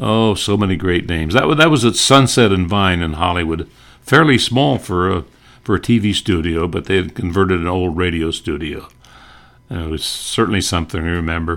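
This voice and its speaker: A man talks at a fairly quick pace with an American accent. His pitch is very deep and low, with ordinary pitch variation. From North Dakota, US (Bismarck). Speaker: retired broadcaster, podcaster. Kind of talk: reminiscing monologue.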